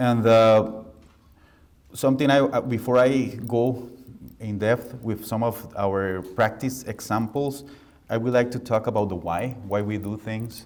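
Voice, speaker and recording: Fairly even intonation in a Costa Rican accent, with audible room echo. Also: man, medium pitch for a man, fairly slow pace. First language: Spanish. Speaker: architect. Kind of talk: lecture.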